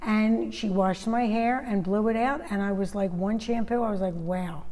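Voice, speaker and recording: Noticeable background noise runs behind a woman with a medium-pitched voice. Her pitch varies in an ordinary way, and her loudness stays very even. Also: moderate pace. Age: 60s. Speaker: direct sales entrepreneur. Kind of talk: casual interview chat.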